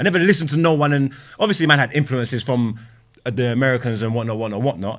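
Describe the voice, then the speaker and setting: Lively intonation marks this very fast speech in an East London accent. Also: man. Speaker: rapper turned podcaster. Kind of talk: casual podcast chat. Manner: halting, repetitive.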